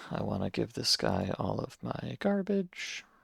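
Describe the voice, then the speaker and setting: In an American accent, a man talks with a dry, close sound and no echo. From US. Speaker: video game streamer. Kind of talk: casual live-stream chat. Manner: casual, playful.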